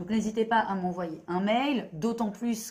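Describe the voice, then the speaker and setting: The woman's voice has a dark, mellow tone, somewhat breathy, with fairly even intonation. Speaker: therapist. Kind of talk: monologue video explanation. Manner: hesitant, many fillers.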